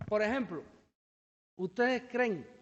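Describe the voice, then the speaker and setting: His pitch rises and falls in an ordinary way as a man speaks fairly quickly. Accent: Cuban. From Cuba. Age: young. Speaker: researcher. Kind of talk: Q&A answer; lecture. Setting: seminar with audience. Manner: fast; hesitant.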